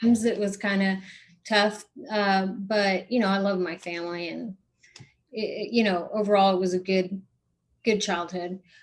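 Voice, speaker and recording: Her Spanish accent is clear as a woman of medium pitch talks at a moderate pace. She stays monotone and flat, with long, frequent pauses. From South Texas, Corpus Christi. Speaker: non-profit founder, person in recovery. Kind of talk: podcast interview. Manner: many fillers and restarts.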